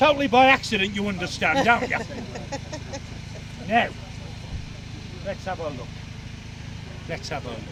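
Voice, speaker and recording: A man's high voice in very wide pitch swings, with long, frequent pauses and noticeable background noise. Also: moderate pace, big swings in loudness. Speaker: historical reenactor and street performer. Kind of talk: live audience demonstration. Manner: animated.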